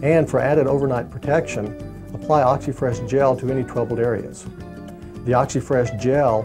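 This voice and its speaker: A man at medium pitch with ordinary pitch variation, and music in the background. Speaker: dentist. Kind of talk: infomercial presentation.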